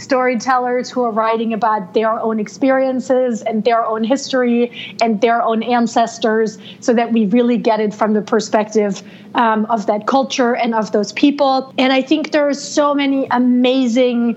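At a moderate pace and with hardly any pauses, a woman in a German accent speaks with fairly high pitch and fairly even intonation against noticeable background noise. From Germany. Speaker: book reviewer and editor. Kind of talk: casual chat.

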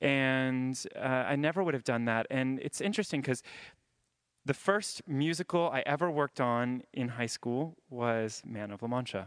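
An unremarkable speaking voice from a man at a medium pitch and moderate pace, with ordinary pitch variation, a dry, close sound with no echo and a quiet background. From US South, Jacksonville, Florida. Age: 20s. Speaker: ballet dancer. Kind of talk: interview on stage. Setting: stage with audience.

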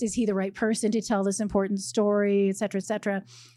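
A woman with a dark, mellow tone and a fairly high pitch talks at a fairly quick pace on a very clean recording with a silent background. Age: 50s. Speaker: novelist. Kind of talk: interview. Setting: bookstore stage with live audience.

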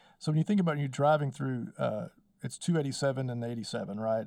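This man speaks with a West Texas accent. His pitch is medium and varies in an ordinary way. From Texas Panhandle (Wellington, Texas). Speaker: power company spokesman and local historian. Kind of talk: casual interview.

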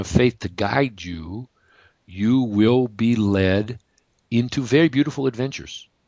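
At a fairly slow pace, a man talks in a normal speaking voice of medium pitch with ordinary pitch variation. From US Midwest, Detroit area, Michigan. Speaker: energy healer, former acupuncturist. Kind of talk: interview.

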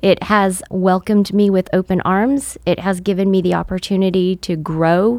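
A woman's normal speaking voice of medium pitch, in an American accent with fairly even intonation. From California. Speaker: insurance agent and business owner. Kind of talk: interview.

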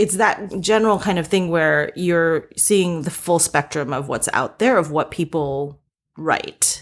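In a normal speaking voice, a woman with an American accent talks at a fairly slow pace, her pitch fairly low with ordinary variation. The recording is very clean, with a silent background. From US East Coast. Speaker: TV writer and producer. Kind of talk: interview.

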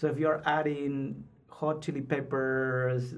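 A man with a Spanish accent, medium in pitch and fairly even in intonation, amid audible room echo. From Peru, Lima. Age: 30s. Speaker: PhD student. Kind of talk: casual interview. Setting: studio.

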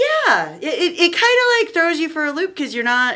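A woman uses a raised, projected voice with very wide pitch swings at a moderate pace. Noticeable background noise is present. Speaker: trombonist in a ska band. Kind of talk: casual chat.

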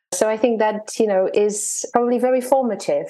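A woman speaks in an unremarkable speaking voice at a moderate pace. Her pitch is fairly high. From Poland, then moved to the US as a child. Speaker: neuroscientist and wellbeing coach. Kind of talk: interview.

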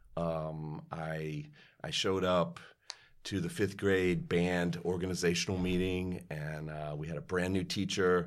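A man's very deep, low voice, monotone and flat, at a fairly slow pace with audible room echo. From Kentucky. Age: 50s. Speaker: orchestral musician. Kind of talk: interview.

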